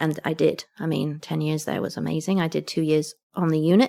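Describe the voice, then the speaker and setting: A woman speaks with an English accent at a very deep, low pitch, with vocal fry. The sound is dry and close, with no echo. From England. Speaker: retired community nurse. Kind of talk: interview answer.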